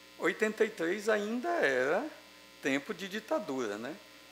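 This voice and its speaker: The man's pitch makes very wide swings as he speaks. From Ceará, Brazil. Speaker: academic speaker at a ceremony. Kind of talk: formal ceremonial speech. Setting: legislative assembly session. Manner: hesitant, many fillers.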